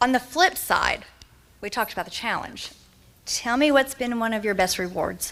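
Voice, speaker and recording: A woman speaks with a Kentucky accent, her pitch fairly high. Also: lively intonation, moderate pace. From eastern Kentucky. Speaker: moderator. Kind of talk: panel interview on stage.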